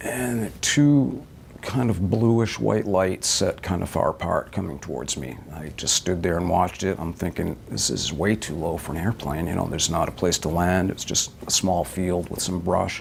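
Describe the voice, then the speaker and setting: A man with a very deep, low pitch talks at a moderate pace with lively intonation and hardly any pauses. There is noticeable background noise. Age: 50s. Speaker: eyewitness interviewee. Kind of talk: interview testimony.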